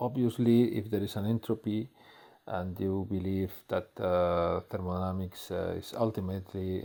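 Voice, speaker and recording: In a very clean recording with a silent background, a man speaks with a dark, mellow tone. His pitch is fairly low and his intonation fairly even. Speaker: physics professor. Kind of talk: lecture. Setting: recorded video lecture. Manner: slow; halting, many fillers.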